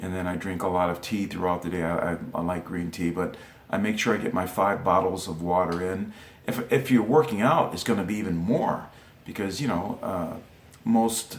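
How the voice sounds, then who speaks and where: With audible room echo and noticeable background noise, a man speaks in a very deep, low pitch at a moderate pace, with ordinary pitch variation. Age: 50s. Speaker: former world champion wrestler and coach. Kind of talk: instructional talk. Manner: hesitant, many fillers.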